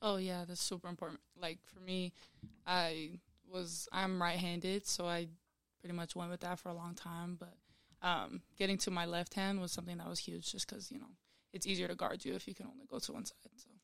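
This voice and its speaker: A woman's normal speaking voice with an American accent, fairly low in pitch and fairly quick, with fairly even intonation and big swings in loudness. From Utah. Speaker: college basketball player. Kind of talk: casual interview.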